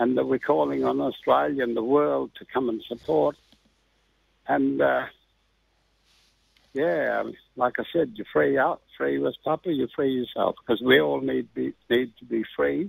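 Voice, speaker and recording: Speaking at a fairly slow pace with long, frequent pauses, a man with a medium pitch swings very widely up and down in pitch. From Australia. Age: 60s. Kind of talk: interview answer. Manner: halting, casual.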